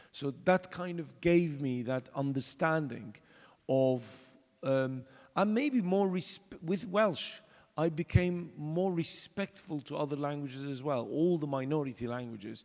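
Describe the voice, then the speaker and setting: A man with a Turkish accent uses lively intonation at a fairly slow pace. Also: fairly high pitch for a man. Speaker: exiled theatre artist, panelist. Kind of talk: panel discussion. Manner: halting, many fillers.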